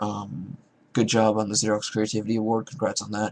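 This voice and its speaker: A man talks at a fairly low pitch. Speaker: robotics team member vlogger. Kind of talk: casual vlog.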